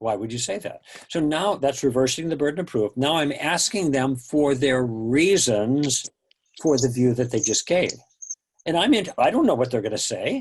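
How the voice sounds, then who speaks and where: Someone speaks with an American accent in an ordinary speaking voice. The pace is moderate and the intonation lively. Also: man. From US Midwest, Chicago. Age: 60s. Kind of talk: interview.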